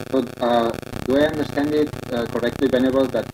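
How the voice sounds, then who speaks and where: A man keeps to a moderate pace and a monotone, flat intonation, with noticeable background noise behind him. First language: not English. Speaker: translation workshop moderator. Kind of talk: workshop discussion. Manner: halting.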